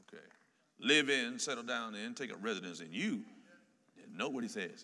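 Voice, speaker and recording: A raised, projected voice with a bright, sharp tone swings very widely in pitch. Room echo is audible. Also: man. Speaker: pastor. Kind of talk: sermon. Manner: animated.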